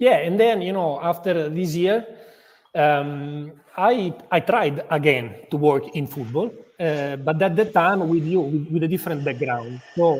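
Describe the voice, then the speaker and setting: A man with an Italian accent, fairly high in pitch, at a fairly slow pace. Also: ordinary pitch variation. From Italy, Modena. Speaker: football club executive. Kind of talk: interview. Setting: live video interview. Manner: halting, many repetitions and fillers.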